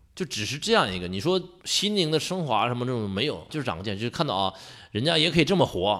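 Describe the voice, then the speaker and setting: A man speaks very fast at medium pitch in a Northeastern Chinese accent. His tone is animated, with very wide pitch swings. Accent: Northeastern Mandarin. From Northeast China, Jiamusi, Heilongjiang. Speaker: adventurous traveler. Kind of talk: casual chat.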